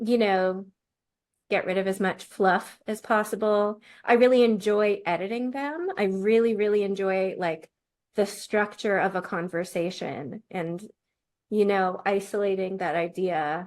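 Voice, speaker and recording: An ordinary speaking voice from a woman, medium-pitched, fairly slow and fairly even in intonation, on a very clean recording with a silent background. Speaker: podcast co-host and writer. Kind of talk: casual chat.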